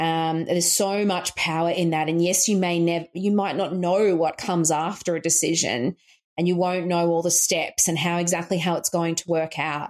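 A woman's fairly low voice with an Australian accent, monotone and flat, very even in loudness, at a moderate pace with hardly any pauses. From rural Queensland, Australia. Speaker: coach and author. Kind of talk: interview conversation.

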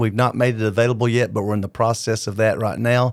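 In a normal speaking voice, a man talks at a fairly quick pace and medium pitch on a very clean recording with a silent background. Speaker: podcast host and preacher. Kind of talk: devotional teaching podcast. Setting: video podcast.

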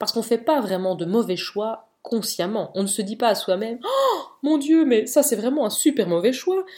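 In an unremarkable speaking voice, a woman talks at a moderate pace and a fairly high pitch, with lively intonation and hardly any pauses. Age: 30s. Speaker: podcast host, mother. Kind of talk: solo personal podcast monologue. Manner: casual, chatty.

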